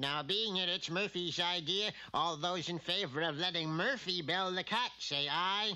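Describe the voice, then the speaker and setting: A man's cartoonish character voice, pitched high. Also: moderate pace, hardly any pauses. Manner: officious.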